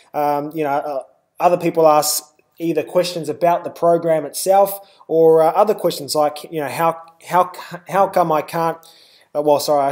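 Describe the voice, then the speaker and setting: With long, frequent pauses, a man speaks at a fairly high pitch in a flat monotone. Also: moderate pace. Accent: New Zealand. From New Zealand. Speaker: webinar presenter. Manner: frequent filler words, hesitant.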